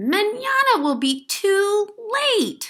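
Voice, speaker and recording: The voice is a squeaky, put-on character voice. Its pitch swings very widely. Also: woman, extremely high pitch for a woman. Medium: read story. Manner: brisk, determined.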